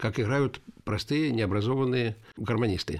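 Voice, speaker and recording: A man with an unremarkable speaking voice at a medium pitch, at a fairly slow pace, on a very clean recording with a silent background. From Yelets, Lipetsk region, Russia. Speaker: folk musician and composer. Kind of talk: interview.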